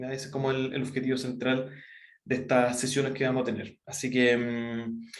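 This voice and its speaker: In a room with audible echo, a man speaks with monotone, flat intonation. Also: medium pitch for a man. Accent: Chilean. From Chile. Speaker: university professor. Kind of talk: online lecture. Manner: fast; many fillers and self-corrections.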